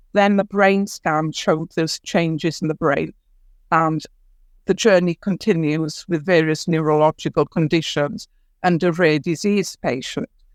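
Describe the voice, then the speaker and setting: A woman's fairly low, fairly slow voice with ordinary pitch variation, dry and close with no echo, on a very clean recording with a silent background. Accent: Welsh. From Wales, Ceredigion. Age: 60s. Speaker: writer and storyteller. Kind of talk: podcast interview.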